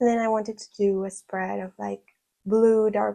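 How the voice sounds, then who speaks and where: A woman speaks with a dark, mellow tone at a medium pitch. Her pace is fairly slow and her intonation monotone and flat. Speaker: art sketchbook youtuber. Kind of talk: casual sketchbook tour.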